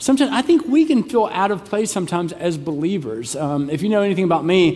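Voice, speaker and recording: Very wide pitch swings mark this man's speech. He talks at a fairly quick pace. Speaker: pastor. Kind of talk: sermon. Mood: humorous, warm. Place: church. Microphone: headset.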